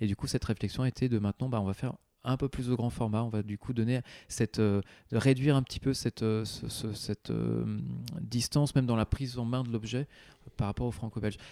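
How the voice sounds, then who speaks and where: Recorded very cleanly against a silent background, with a dry, close sound and no echo, a man of medium pitch speaks at a fairly quick pace in a dark, mellow tone with fairly even intonation. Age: 30s. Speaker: comics editorial director. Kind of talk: interview. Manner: halting.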